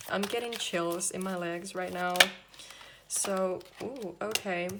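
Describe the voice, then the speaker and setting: A woman with a non-native accent speaks at a medium pitch and a fairly slow pace. Noticeable background noise and audible room echo surround her. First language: not English. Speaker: tarot reader. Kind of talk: tarot reading to camera.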